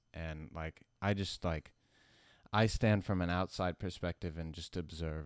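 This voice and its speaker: Speaking slowly, but not very, a man with an American accent uses a very deep, low pitch and fairly even intonation on a very clean recording with a silent background. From US South (Alabama). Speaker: musician. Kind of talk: casual interview.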